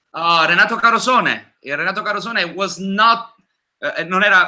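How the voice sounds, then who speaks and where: The speaker is a man with a bright, sharp tone. The recording is very clean, with a silent background. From Naples, Italy. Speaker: singer. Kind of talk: interview.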